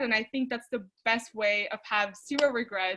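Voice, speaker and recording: Moderate pacing from a woman. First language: not English. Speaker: former student, outreach director. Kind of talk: webinar panel talk. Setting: online webinar. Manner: casual, conversational.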